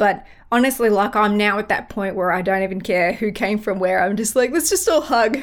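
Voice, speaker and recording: A woman's medium-pitched voice with an Australian accent, ordinary pitch variation and a fairly quick pace. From Australia, Melbourne. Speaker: music podcast guest. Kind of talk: casual chat.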